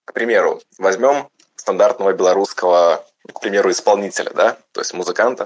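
A man at a moderate pace. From Belarus. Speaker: audience member asking a question. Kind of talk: question from audience.

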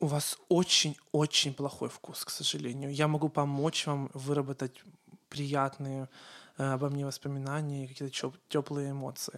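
At a fairly slow pace, a man talks in a fairly high pitch with monotone, flat intonation. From Ukraine. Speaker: event host and podcast host. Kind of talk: interview, casual chat.

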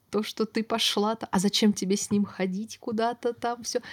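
This woman's voice sits fairly high and is somewhat breathy, recorded with a dry, close sound and no echo. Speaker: podcast host. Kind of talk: casual chat.

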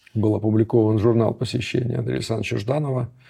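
Vocal fry runs through a man's dark, mellow tone, pitched in the medium range. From Leningrad, Russia. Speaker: historian, professor. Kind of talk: interview.

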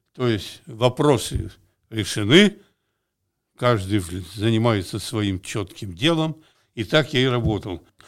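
Speaking very slowly at medium pitch, a man uses lively intonation with long, frequent pauses. The recording is very clean, with a silent background. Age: old. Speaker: retired construction engineer. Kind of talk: casual interview storytelling.

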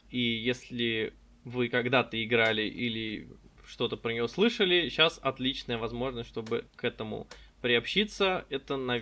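A man talks at a fairly slow pace with medium pitch and ordinary pitch variation. He has an ordinary speaking voice. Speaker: insurance modelling consultant. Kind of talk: casual interview chat.

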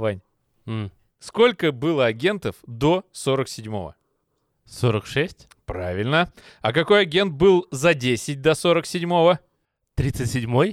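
In a very clean recording with a silent background, a man with a fairly high pitch talks at a very slow pace. His pitch swings very widely, and he takes long, frequent pauses. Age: 30s. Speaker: gaming podcast host. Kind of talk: casual chat.

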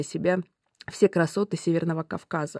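A woman speaks at a moderate pace with a fairly low pitch and a dark, mellow tone. The recording is very clean and dry, close with no echo, over a silent background. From Russia, Lake Baikal region. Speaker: railway company executive. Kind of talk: interview.

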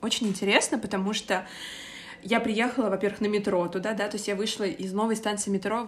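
A woman talks at a medium pitch. Her voice has vocal fry. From Moscow, Russia. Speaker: podcast co-host. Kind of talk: casual chat.

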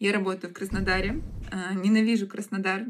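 Here a woman's voice sits at medium pitch. It moves up and down an ordinary amount. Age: 20s. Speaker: online school founder and producer. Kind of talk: casual chat.

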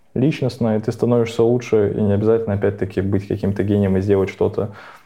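Fairly even in intonation, a man speaks at a fairly low pitch in an ordinary speaking voice. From Russia, Nizhny Novgorod. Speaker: podcast co-host. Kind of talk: casual chat.

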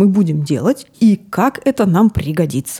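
A woman talks at a very slow pace with very wide pitch swings, her dark, mellow tone somewhat breathy, in a dry, close sound with no echo. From Siberia (Novosibirsk). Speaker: podcast co-host and gestalt psychologist. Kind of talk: casual chat.

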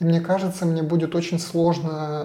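A man's fairly high, dark, mellow voice at a moderate pace, flat and monotone in intonation. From Russia, Saint Petersburg. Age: 40s. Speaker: digital agency founder and CEO. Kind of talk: podcast interview.

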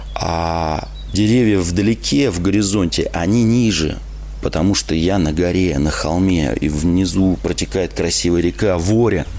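Noticeable background noise sits behind a man with a very deep, low voice. He talks at a fairly slow pace with ordinary pitch variation. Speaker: radio host. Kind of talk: live radio call-in show. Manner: animated.

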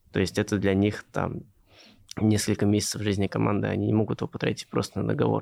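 Very fast and at a very even loudness, a man talks in a dry, close sound with no echo. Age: 20s. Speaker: venture investor. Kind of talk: interview.

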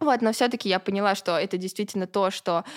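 In a very clean recording with a silent background, a woman at medium pitch has an unremarkable speaking voice. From Russia, Ulyanovsk. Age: 20s. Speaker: blogger. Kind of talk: casual interview.

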